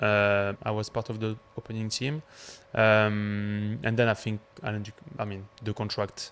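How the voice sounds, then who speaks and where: In a French accent, a man speaks at a moderate pace and a fairly low pitch, his intonation monotone and flat. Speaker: chef. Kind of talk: casual chat.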